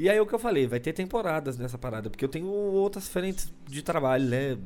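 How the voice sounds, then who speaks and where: A man talks at a fairly quick pace, his pitch swinging very widely. Music plays in the background. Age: 30s. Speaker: podcast host, stand-up comedy scene. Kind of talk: casual solo monologue. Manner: talkative, fast.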